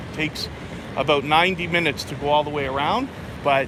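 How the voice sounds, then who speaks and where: With a Canadian accent, a man talks at a moderate pace over noticeable background noise. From Canada, Toronto. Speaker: travel vlogger. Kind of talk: live stream walking tour. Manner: loud.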